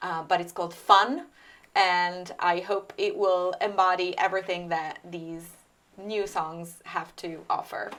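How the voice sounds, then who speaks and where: With an Italian accent, a woman speaks at a fairly low pitch with fairly even intonation. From Italy, Tuscany. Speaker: singer-songwriter. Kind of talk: interview.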